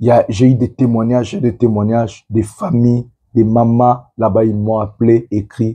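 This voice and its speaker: A man speaks at a fairly slow pace. His tone is dark and mellow, somewhat breathy. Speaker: political commentator. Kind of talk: political commentary monologue. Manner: subdued, not forceful.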